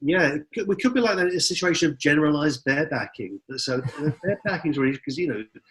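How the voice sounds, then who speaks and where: Speaking at a very fast pace with an English accent, a man with a fairly high pitch uses lively intonation and hardly any pauses. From England. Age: 60s. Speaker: philosophy professor. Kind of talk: interview.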